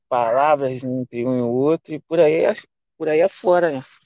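This man's voice is fairly high, with ordinary pitch variation. The sound is dry and close, with no echo. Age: 20s. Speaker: rideshare driver. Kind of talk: casual chat. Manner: halting.

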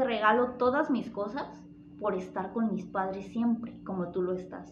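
The speech moves at a fairly slow pace with fairly even intonation. Noticeable background noise sits behind it. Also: woman. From Mexico, northern Jalisco. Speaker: podcast guest. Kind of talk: casual chat.

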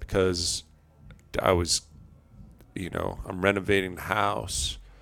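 A man with a New York accent, monotone and flat, at a fairly slow pace. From New York (Long Island). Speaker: outdoor enthusiast. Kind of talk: casual chat.

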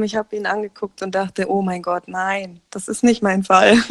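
A woman's voice comes through with a dry, close sound with no echo. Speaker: podcast co-host. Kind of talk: casual chat. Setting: remote call from a caravan. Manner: animated, laughing often. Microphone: muffled, recording under a blanket.

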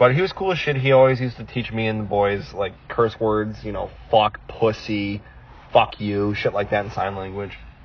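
Noticeable background noise runs under this man's fairly low voice. He keeps a moderate pace with ordinary pitch variation. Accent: American. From United States. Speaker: podcast co-host. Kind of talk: casual chat.

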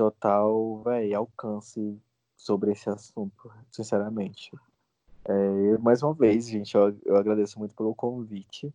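The speaker's dark, mellow tone comes at a fairly slow pace with monotone, flat intonation in a dry, close sound with no echo. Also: man. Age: 20s. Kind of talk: interview testimony. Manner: halting.

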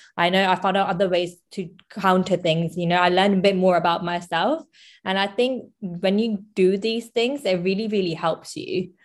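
A woman with an unremarkable speaking voice talks at medium pitch and a moderate pace, with ordinary pitch variation against a quiet background. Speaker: podcast host. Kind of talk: casual interview conversation.

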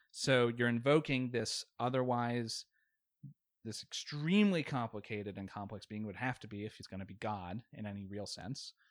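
On a very clean recording with a silent background and a dry, close sound with no echo, a man speaks at a medium pitch and moderate pace with ordinary pitch variation and big swings in loudness. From Virginia, Richmond. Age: 30s. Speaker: atheist debate guest, engineer and war veteran. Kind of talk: casual debate.

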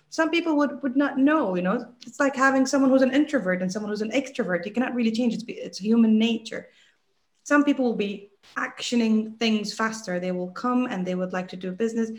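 A woman with an American accent, fairly high-pitched, with ordinary pitch variation at a fairly quick pace. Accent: American-sounding English. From UAE (Dubai). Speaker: entrepreneur. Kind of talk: interview.

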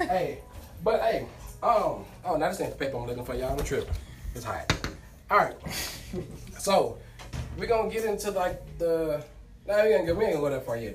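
A man's speech is broken by long, frequent pauses, with noticeable background noise and audible echo from the room. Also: moderate pace. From Houston, Texas. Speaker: podcast host. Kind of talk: casual chat.

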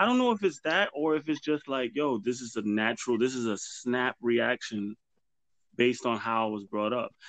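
With a plain, everyday voice and an American accent, a man speaks at medium pitch and a moderate pace with ordinary pitch variation, recorded dry and close with no echo against a quiet background. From New York City, the Bronx. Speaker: podcast host. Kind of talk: casual chat.

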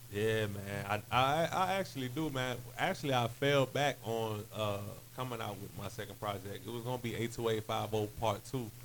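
A man talks at a moderate pace in an ordinary speaking voice. His pitch is medium, with ordinary variation. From western North Carolina (Hendersonville), born in DC. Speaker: hip hop artist. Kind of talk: casual interview chat.

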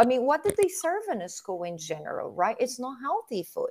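This is a woman speaking. She has a Portuguese accent. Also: very clean recording, silent background. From southern Brazil. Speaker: physical therapist. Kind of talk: casual interview.

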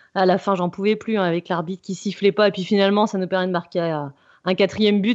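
A woman speaks in a normal speaking voice, medium-pitched and at a moderate pace. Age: 30s. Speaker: football analyst. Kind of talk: casual chat.

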